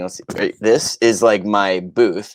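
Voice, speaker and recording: A normal speaking voice from a man, moderate in pace and fairly low-pitched. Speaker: voice actor. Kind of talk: interview answer.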